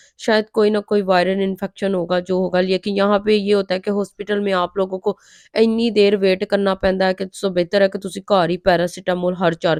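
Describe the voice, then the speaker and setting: A woman speaks at a moderate pace with a medium pitch and monotone, flat intonation. The sound is dry and close with no echo, over a quiet background. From Pakistan. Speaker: vlogger, mother. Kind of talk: vlog voice-over.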